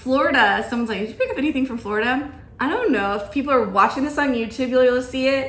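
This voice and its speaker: A woman's very fast, high-pitched voice with an American accent, ordinary pitch variation and audible room echo. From US South, Georgia. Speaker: podcast host. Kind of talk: casual chat.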